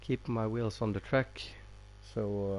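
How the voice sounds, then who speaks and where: A man speaks with a Norwegian accent. His pace is moderate. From Norway. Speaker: gaming livestreamer. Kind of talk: live gameplay commentary. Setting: livestream with chat. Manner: halting, many fillers.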